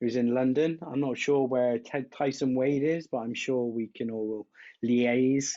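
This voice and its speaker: A man speaks at a fairly slow pace in a dark, mellow, medium-pitched voice with fairly even intonation. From southwest England, Wiltshire. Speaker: drummer and video creator. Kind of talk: casual interview chat.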